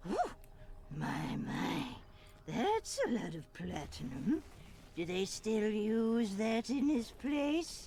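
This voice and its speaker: A put-on character voice, fairly high in pitch, at a very slow pace over clear background noise. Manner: booming.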